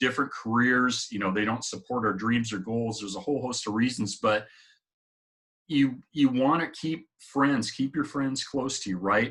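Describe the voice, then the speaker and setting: The speaker has a plain, everyday voice with ordinary pitch variation. The pace is moderate. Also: man, medium pitch for a man. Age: 50s. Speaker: motivational vlogger. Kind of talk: casual personal-development talk to camera. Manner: conversational, with frequent fillers.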